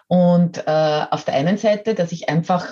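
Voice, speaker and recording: Somewhat breathy and dark, mellow in tone, a woman's fairly low voice moves at a fairly slow pace. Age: 50s. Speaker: model and coach. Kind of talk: interview.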